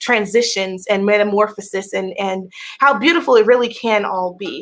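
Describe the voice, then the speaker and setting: A woman speaks with a normal speaking voice at a medium pitch. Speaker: tarot reader. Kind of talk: tarot reading.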